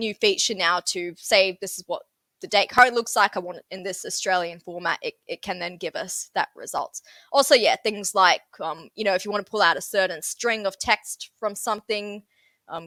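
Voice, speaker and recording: A woman with a Sydney accent speaks at a medium pitch with a bright, sharp tone and ordinary pitch variation, her loudness swinging widely. The sound is dry and close with no echo, in a very clean recording with a silent background. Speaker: software trainer. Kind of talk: interview. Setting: podcast.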